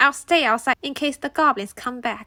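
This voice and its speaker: A woman puts on a croaky character voice pitched high. She keeps a moderate pace. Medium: read story. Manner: polite, dutiful.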